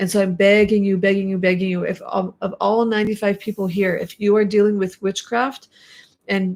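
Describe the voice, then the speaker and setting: In a very clean recording with a silent background, a woman talks at a medium pitch with a flat, monotone delivery. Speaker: YouTuber live streaming with her mother. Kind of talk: live stream chat. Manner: passionate, emphatic.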